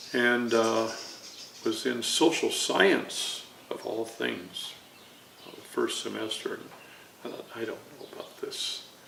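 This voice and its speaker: Amid noticeable background noise and audible room echo, a man speaks very slowly with long, frequent pauses and big swings in loudness. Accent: American. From Chicago area, Illinois. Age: 80s+. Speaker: navy veteran and artist. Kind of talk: oral history interview. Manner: halting, many fillers.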